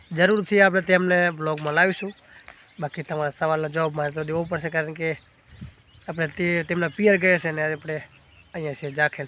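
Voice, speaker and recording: This man's voice sits fairly high in pitch. His intonation stays monotone and flat. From Gujarat, India (village). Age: 20s. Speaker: family vlogger. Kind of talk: Q&A vlog. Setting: outdoors on a farm.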